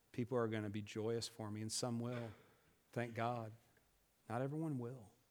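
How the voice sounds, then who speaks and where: A man speaks at a medium pitch. Audible echo from the room surrounds his voice. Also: long, frequent pauses. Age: 40s. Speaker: pastor. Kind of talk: sermon. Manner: halting, many fillers.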